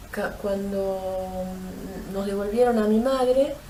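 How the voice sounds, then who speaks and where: Amid noticeable background noise and audible room echo, a woman talks at a very slow pace. Her intonation is fairly even. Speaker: abuse survivor. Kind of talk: testimony. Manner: halting, many fillers.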